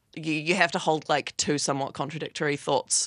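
Very fast speech in a New Zealand accent. The sound is dry and close, with no echo. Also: woman. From New Zealand, Wellington. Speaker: artist. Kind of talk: interview.

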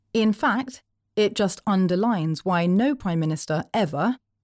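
On a very clean recording with a silent background and a dry, close sound with no echo, a woman with a normal speaking voice talks at a medium pitch and moderate pace. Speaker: audio reader of articles. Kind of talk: reading aloud articles.

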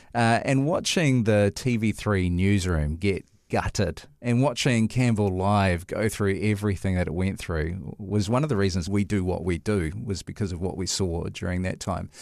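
Heard in a very clean recording with a silent background, a man with a New Zealand accent speaks at a moderate pace and fairly low pitch, with ordinary pitch variation and hardly any pauses. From New Zealand, Tokoroa. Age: 40s. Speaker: podcast host, church minister and chaplain. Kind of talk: casual interview chat. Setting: studio.

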